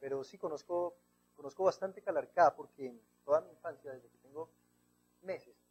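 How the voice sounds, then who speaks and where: A man speaks with a Bogotá accent and a high pitch. His loudness swings widely, his pitch varies in an ordinary way, and he pauses often and at length. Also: moderate pace. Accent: Bogotá Colombian Spanish. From Colombia, Bogotá. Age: 30s. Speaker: writer. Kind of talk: TV interview.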